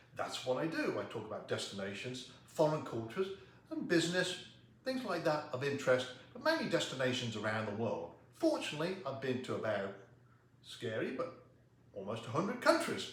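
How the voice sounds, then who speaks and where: With an American accent, this voice moves at a fairly quick pace through very wide pitch swings, over noticeable background noise and audible room echo. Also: man, fairly high pitch for a man. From England, Coventry. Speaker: public speaker. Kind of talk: self-introduction to camera.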